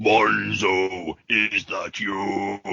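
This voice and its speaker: Booming and fairly low in pitch, a man performs a put-on character voice. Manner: questioning, calling out.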